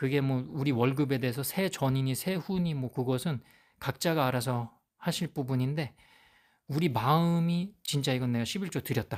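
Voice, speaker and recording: The speech moves at a moderate pace with ordinary pitch variation, in a very clean recording with a silent background. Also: man, medium pitch for a man. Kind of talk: Bible teaching monologue. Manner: halting, with fillers.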